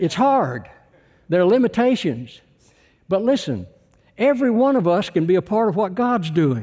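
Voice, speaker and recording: On a very clean recording with a silent background, a man with a Texan accent speaks in a high voice with a dark, mellow tone. His pitch makes very wide swings at very even loudness, broken by long, frequent pauses. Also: moderate pace. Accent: Texan Southern US. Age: 80s+. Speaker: visiting preacher. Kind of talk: sermon. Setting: church.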